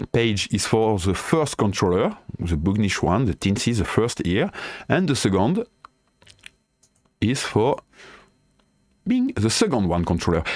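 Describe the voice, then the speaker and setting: With a French accent, a man talks at a fairly slow pace and fairly low pitch, using lively intonation, very even loudness and long, frequent pauses. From France. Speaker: DIY tinkerer and tool developer. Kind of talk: software tutorial. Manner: halting, hesitant non-native English.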